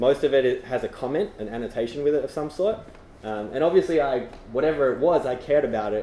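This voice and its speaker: Over noticeable background noise, a man with an Australian accent speaks at a fairly quick pace with very wide pitch swings. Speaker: tech conference speaker. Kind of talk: presentation to meetup audience. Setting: stage with audience. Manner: casual, many fillers.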